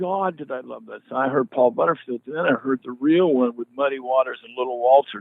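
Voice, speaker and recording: A man with an American accent, big swings in loudness and hardly any pauses. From US West Coast, Eugene, Oregon. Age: 60s. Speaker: blues musician. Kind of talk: interview. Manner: animated.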